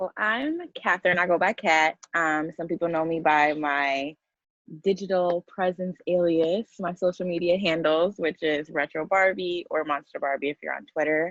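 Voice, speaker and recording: A woman with an American accent talks at a moderate pace and fairly even intonation, the sound dry and close with no echo. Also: fairly low pitch for a woman. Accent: New York accent, comes out when passionate. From Queens, New York. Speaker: podcast guest, founder of a social media project. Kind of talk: casual podcast chat.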